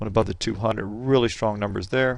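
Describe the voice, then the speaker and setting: Medium male pitch with ordinary pitch variation against a quiet background. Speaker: day trading educator. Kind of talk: market recap tutorial. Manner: fast.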